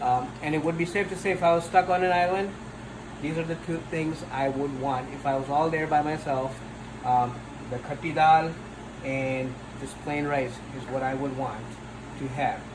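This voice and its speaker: A man's fairly high voice at a moderate pace, with long, frequent pauses, audible room echo and noticeable background noise. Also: ordinary pitch variation. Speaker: cooking show host. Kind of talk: cooking tutorial. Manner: hesitant, many fillers and repeats.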